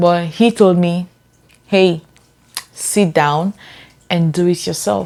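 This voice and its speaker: Speaking at a very slow pace with long, frequent pauses, a woman uses a fairly low pitch and ordinary pitch variation. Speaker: lifestyle vlogger. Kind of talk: personal story to camera.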